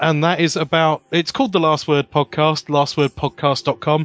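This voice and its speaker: Here a man speaks with a British accent. His pitch is fairly high and his pace moderate. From UK. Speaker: podcast guest, theme tune composer. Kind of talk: casual chat. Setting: remote call. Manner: self-deprecating, joking.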